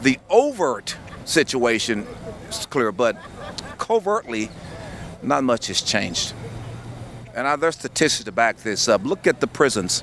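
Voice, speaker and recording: Over noticeable background noise, a man with a medium pitch speaks fairly slowly, his pitch swinging very widely between long, frequent pauses. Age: 60s. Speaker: business and civic leader. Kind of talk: interview.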